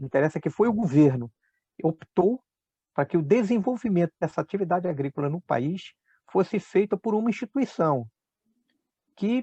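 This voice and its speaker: Dry and close with no echo, a man's dark, mellow, high-pitched voice swings very widely in pitch at a moderate pace, broken by long, frequent pauses. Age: 60s. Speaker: agronomist, agricultural researcher. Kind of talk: interview. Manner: hesitant, many fillers.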